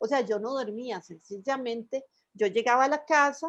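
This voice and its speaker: A woman's high voice at a fairly slow pace. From Costa Rica. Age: 60s. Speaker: illustrator. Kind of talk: radio interview. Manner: conversational, storytelling.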